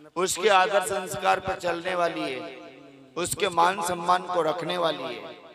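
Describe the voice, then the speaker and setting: Amid noticeable background noise, a man with a high pitch and fairly even intonation talks in big swings of loudness. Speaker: storyteller / religious kathavachak. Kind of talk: devotional storytelling (katha) to a live audience.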